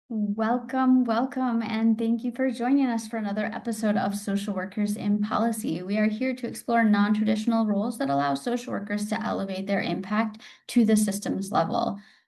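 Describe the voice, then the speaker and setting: Speaking at a fairly quick pace with hardly any pauses, a woman with a plain, everyday voice keeps a fairly high pitch and fairly even intonation. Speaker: podcast host. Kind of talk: interview host questions.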